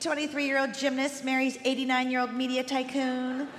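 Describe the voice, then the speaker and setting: Over clear background noise, a put-on character voice rattles along at a fairly quick pace. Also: female-sounding voice, high pitch for a woman. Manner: flirtatious, breezy.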